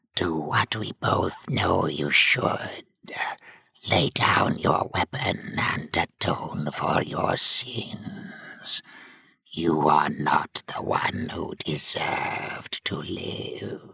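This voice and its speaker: A man does a put-on character voice, growling and hissing at a very slow pace. His voice is gravelly and very deep, with a low pitch. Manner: hissing, accusatory.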